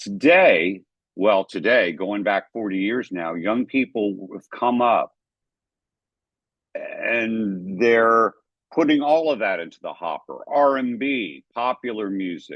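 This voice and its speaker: Lively intonation from a man at a medium pitch and a very slow pace. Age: 60s. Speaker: photojournalist and jazz historian. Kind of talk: lecture.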